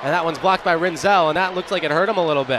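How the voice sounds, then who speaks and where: A man speaks in an animated tone at a high pitch. There is noticeable background noise. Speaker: play-by-play announcer. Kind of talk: live commentary. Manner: animated on goals, rising call.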